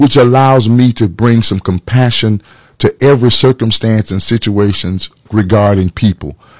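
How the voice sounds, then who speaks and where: A man with an American accent talks in a plain, everyday voice, pitched fairly low. The sound is dry and close with no echo, and the recording is very clean against a silent background. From Atlanta, Georgia, US South. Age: 50s. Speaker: pastor and political candidate. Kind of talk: interview.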